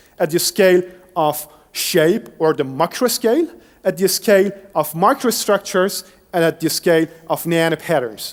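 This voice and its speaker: A man's high voice with a Persian accent and lively intonation. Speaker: professor, engineer. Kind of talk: lecture. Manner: some self-corrections and restarts.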